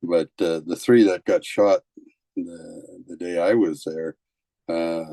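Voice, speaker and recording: A man at a very slow pace, with a dry, close sound and no echo. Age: 70s. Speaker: retired police officer. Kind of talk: testimony. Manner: halting, many fillers.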